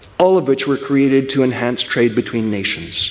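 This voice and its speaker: Over noticeable background noise, a man speaks fairly quickly at a medium pitch. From English-speaking country. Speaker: historian of political thought. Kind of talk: conference lecture.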